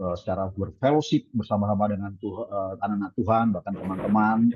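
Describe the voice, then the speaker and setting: With fairly low pitch and fairly even intonation, a man talks at a fairly quick pace. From Indonesia, Balikpapan, East Kalimantan. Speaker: pastor. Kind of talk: sermon. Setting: video call. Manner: halting.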